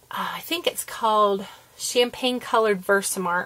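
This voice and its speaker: The woman has a normal speaking voice with a fairly high pitch. She talks at a moderate pace with ordinary pitch variation. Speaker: papercraft video maker. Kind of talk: tutorial.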